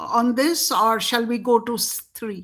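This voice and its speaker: A woman with a Bengali accent speaks at a fairly slow pace in a high voice. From India. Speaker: show host. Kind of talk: interview discussion.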